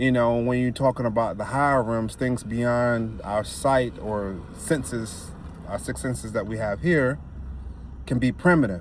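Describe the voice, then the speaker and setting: At a fairly slow pace with ordinary pitch variation, the voice carries audible room echo. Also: man, medium pitch for a man. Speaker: spiritual self-help vlogger. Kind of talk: casual monologue.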